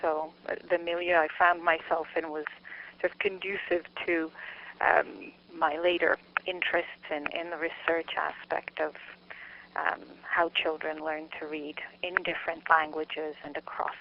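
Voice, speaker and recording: In a Canadian accent, a woman speaks at a moderate pace with a fairly low pitch and a monotone, flat intonation, leaving long, frequent pauses. Noticeable background noise is present. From Montreal, Quebec, Canada. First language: Czech. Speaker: psychology researcher and lecturer. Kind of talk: interview. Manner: halting, many fillers.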